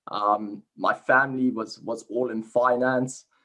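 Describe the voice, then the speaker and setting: Speaking in a South African accent, a man uses a medium pitch and a bright, sharp tone with fairly even intonation. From South Africa, Cape Town. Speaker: sports science researcher. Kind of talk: interview. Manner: halting, frequent repetitions and fillers.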